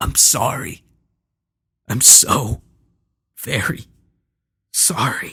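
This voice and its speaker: A man puts on a raspy character voice at medium pitch, speaking at a very slow pace. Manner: wounded, remorseful.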